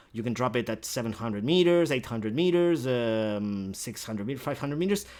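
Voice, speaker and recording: On a very clean recording with a silent background, a man with a non-native accent speaks at a fairly quick pace with lively intonation. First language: not English. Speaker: video gamer. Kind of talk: gameplay tutorial. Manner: halting, many fillers; casual.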